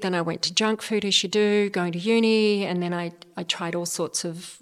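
In an unremarkable speaking voice, a woman talks at a moderate pace with medium pitch and fairly even intonation. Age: 50s. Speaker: public speaker and speaking coach. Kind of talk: interview.

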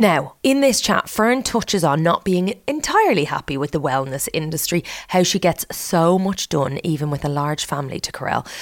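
A woman has an ordinary speaking voice with a fairly low pitch. Her intonation is lively and her pace moderate. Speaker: podcast host. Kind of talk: casual interview chat.

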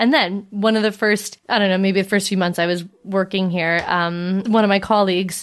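The recording is very clean, with a silent background. A woman with a Canadian accent talks in an unremarkable speaking voice, medium in pitch with ordinary pitch variation. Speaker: podcast host. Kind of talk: casual chat.

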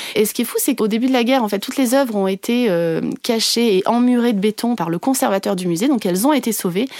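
A woman's speech races along very fast, her pitch varying in an ordinary way. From France, Ardèche. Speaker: journalist and novelist. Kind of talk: interview. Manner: halting.

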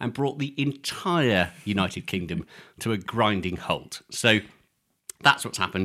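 This recording is very clean, its background silent. The speech proceeds at a moderate tempo. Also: man. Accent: English. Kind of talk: casual chat. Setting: studio.

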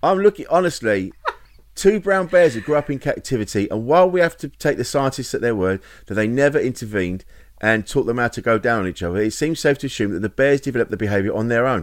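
A man with an English accent talks at a very fast pace with very wide pitch swings. The recording is very clean, with a silent background. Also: medium pitch for a man. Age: 50s. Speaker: comedian and podcast co-host. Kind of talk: casual chat.

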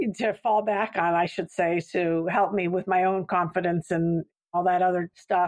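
A woman with an American accent speaks in a normal speaking voice at medium pitch and a moderate pace, her intonation fairly even, the sound dry and close with no echo against a quiet background. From US Southwest, Santa Fe, New Mexico. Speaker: company executive in people and culture. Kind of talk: podcast interview.

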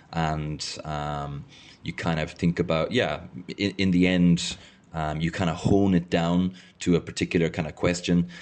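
At a moderate pace, a man with an Irish accent speaks in a very deep, low pitch and a monotone, flat intonation. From Ireland. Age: 30s. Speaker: podcaster. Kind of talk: reading aloud and discussing own thesis. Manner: hesitant, many fillers.

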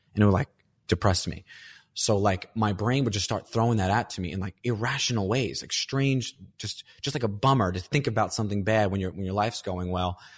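With a plain, everyday voice, a man speaks at a fairly quick pace, fairly low in pitch with ordinary variation. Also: very clean recording, silent background. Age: 30s. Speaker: comedian.

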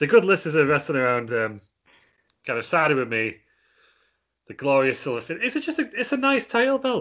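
With very wide pitch swings, a man talks and leaves long, frequent pauses. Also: fairly high pitch for a man. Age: 20s. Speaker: wrestling podcast co-host. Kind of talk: casual chat.

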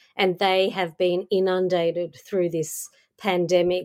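A woman speaks with an Australian accent. Her pitch is medium and her pace fairly slow. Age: 50s. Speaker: podcast host. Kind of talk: interview.

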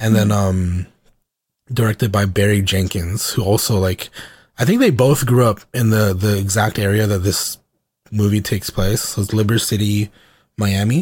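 At a moderate pace, a man with an American accent speaks in a somewhat breathy, fairly low voice with fairly even intonation. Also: very clean recording, silent background. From US South (Georgia). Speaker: podcast co-host. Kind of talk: casual chat. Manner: casual, filler-heavy.

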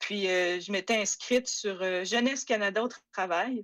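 Woman at a fairly slow pace, very clean recording with a silent background. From Quebec, Saguenay. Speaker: history PhD student. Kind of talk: interview. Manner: halting.

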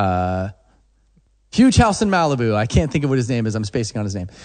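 A man speaks in a plain, everyday voice at medium pitch and a fairly quick pace against a quiet background. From Oklahoma. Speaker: songwriter and producer. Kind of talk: casual interview chat.

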